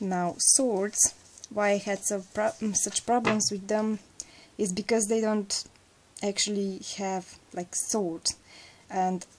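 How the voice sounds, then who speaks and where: Speaking very slowly with a non-native accent, a woman holds a medium pitch and fairly even intonation. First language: not English. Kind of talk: casual talk to camera.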